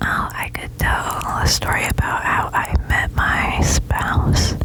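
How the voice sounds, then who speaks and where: Someone whispers very slowly in an American accent. Noticeable background noise runs underneath. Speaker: ASMR artist. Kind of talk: ASMR personal attention storytelling. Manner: whispered, soft-spoken.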